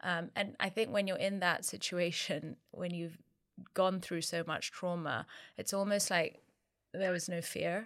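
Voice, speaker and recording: A British accent from a woman with a fairly low pitch, fairly slow pace and fairly even intonation, in a very clean recording with a silent background. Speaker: co-founder of a divorce support platform. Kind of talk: interview. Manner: halting, many fillers.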